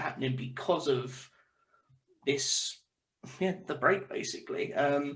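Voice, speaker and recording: The man talks at a moderate pace, his voice somewhat breathy and fairly high-pitched. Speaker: football fan guest. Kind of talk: casual chat.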